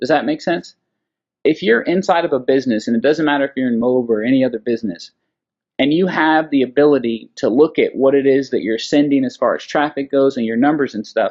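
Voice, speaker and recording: A man's very fast speech at a fairly high pitch against a quiet background. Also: ordinary pitch variation. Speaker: online marketer. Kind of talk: screen-share tutorial. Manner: casual, filler-heavy. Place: home room. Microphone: webcam.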